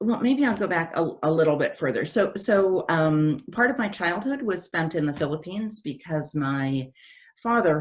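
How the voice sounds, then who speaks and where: A woman with a fairly low voice speaks at a moderate pace. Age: 60s. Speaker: development economist and organization CEO. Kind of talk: Q&A talk. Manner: hesitant, many fillers.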